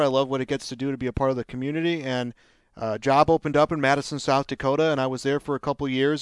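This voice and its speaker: Delivered at a very fast pace in an American accent, the monotone, flat speech has a dry, close sound with no echo and a quiet background. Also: man. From Chicago, north side. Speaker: sports play-by-play broadcaster. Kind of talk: casual chat. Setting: hotel room.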